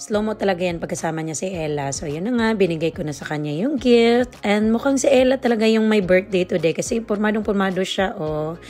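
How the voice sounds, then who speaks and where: Over noticeable background noise, a woman talks at a fairly quick pace with lively intonation and hardly any pauses. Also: medium pitch for a woman. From Philippines. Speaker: vlogger. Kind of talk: vlog voiceover narration.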